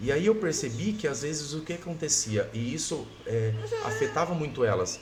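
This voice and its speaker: With audible room echo and noticeable background noise, the voice moves at a moderate pace through very wide pitch swings. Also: man, fairly high pitch for a man. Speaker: guest sharing illness testimony. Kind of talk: testimony. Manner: loud.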